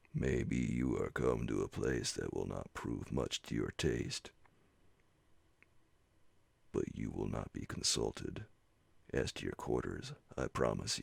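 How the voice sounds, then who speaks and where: A man uses a gruff, put-on character voice with a very deep, low pitch. He speaks fairly slowly, with long, frequent pauses. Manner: rude, curt.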